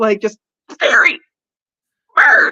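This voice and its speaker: A woman performs a put-on character voice. The sound is shrill. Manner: screeching.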